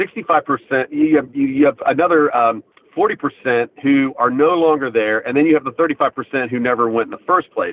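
Fairly high in pitch, a man with an American accent talks at a moderate pace. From US, southern Ohio (Appalachia). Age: 50s. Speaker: business founder. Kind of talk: interview. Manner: halting, many fillers and repeats.

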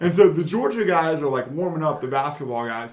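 A man's fairly high voice with audible room echo. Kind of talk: casual chat. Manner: animated; loud.

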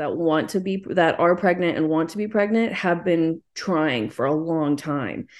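A woman with an American accent speaks at a moderate pace in a plain, everyday voice, her fairly low pitch showing ordinary pitch variation. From Texas, small town. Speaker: expectant single mother. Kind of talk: casual chat.

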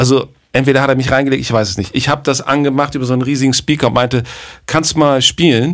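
At a very fast pace, a man speaks in a medium pitch with fairly even intonation. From northern Germany, Bremen. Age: 50s. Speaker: jazz drummer and producer. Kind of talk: casual chat.

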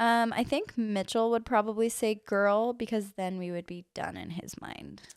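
Talking at a moderate pace with hardly any pauses, a woman shows big swings in loudness. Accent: American. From Utah, Orem. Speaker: mother. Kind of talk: casual chat. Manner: soft-spoken.

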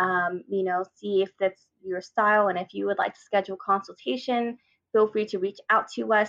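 A woman with an American accent and a plain, everyday voice speaks at a medium pitch with fairly even intonation, the sound dry and close with no echo. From US, Vietnamese American family. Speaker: wedding planner. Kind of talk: interview.

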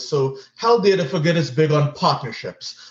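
This man sounds somewhat breathy, and his pitch varies in an ordinary way. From Trinidad and Tobago. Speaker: physician and health nonprofit executive. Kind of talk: interview.

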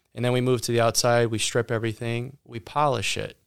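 Fairly quick speech from a man at medium pitch with an American accent. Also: very clean recording, silent background. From Ohio. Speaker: auto detailing business owner. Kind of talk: interview. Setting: studio.

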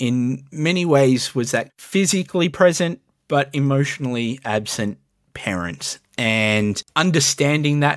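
A man with an Australian accent at a fairly slow pace, medium in pitch with ordinary pitch variation, on a very clean recording with a silent background. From Melbourne, Australia. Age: 30s. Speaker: youth worker. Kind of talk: interview.

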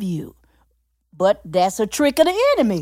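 At a fairly slow pace, a woman speaks in an animated, excited tone with very wide pitch swings. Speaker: podcast host.

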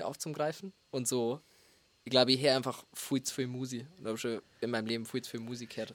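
This is a plain, everyday voice, talking at a fairly quick pace with fairly even intonation. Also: man. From Bavaria, rural dialect area. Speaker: music producer. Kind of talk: casual chat. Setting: studio.

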